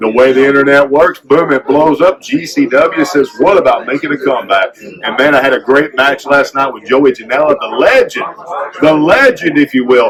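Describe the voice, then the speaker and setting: A man at a moderate pace, fairly high in pitch, with noticeable background noise. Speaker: former pro wrestler and caricature artist. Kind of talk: interview. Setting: convention floor. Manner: animated.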